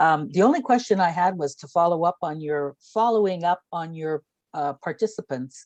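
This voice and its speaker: Speaking at a moderate pace, a woman swings her pitch very widely. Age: 60s. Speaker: book club participant. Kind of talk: book club discussion. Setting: video call.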